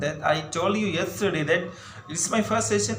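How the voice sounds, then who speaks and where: A man with an Indian accent talks at a moderate pace over noticeable background noise. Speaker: English tutor. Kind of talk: casual talk to camera.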